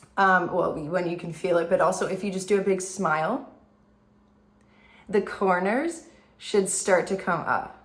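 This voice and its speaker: Amid audible room echo, a woman speaks fairly slowly at a medium pitch, with ordinary pitch variation and long, frequent pauses. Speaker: beauty content creator. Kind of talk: makeup tutorial. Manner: casual, chatty.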